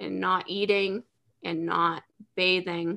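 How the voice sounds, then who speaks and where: Here a woman with an American accent speaks at a medium pitch in a bright, sharp tone with fairly even intonation. The recording is very clean, with a silent background. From central Pennsylvania. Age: 30s. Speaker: mental health blogger. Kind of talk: interview about personal struggles.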